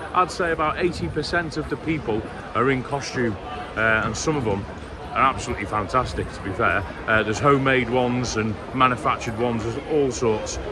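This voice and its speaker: A man talks fairly quickly with ordinary pitch variation, his voice set against noticeable background noise. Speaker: vlogger. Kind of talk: casual vlog chat. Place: street. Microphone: phone near.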